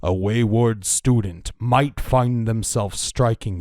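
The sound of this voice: Text read in an unforced reading voice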